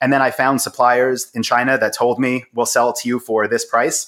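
A man with an American accent and an ordinary speaking voice at a moderate pace, on a very clean recording with a silent background. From US Northeast, Long Island, New York. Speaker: e-commerce entrepreneur. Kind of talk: interview.

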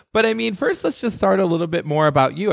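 Speaking in an American accent, a man sounds animated with lively intonation. His pitch is fairly high. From US Midwest. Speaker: podcast host. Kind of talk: casual interview.

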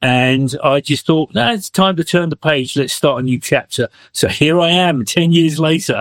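A man with an English accent, fairly high in pitch with ordinary pitch variation, at a moderate pace with hardly any pauses and very even loudness, in a dry, close sound with no echo. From England. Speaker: musician and songwriter. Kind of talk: interview.

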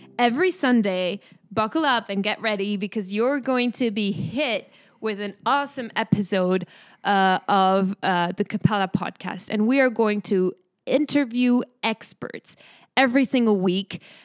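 Speaking in a French accent at a moderate pace, a woman has a fairly high pitch and ordinary pitch variation, recorded very cleanly against a silent background with a dry, close sound and no echo. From France. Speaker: startup founder. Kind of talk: casual chat.

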